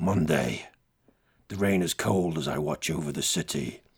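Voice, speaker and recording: A man puts on a gruff character voice. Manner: gloomy, disdainful.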